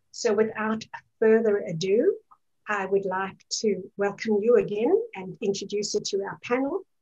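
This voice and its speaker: A woman talks at a moderate pace with a dark, mellow tone. The background is quiet. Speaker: webinar moderator. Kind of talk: webinar introduction. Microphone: video call.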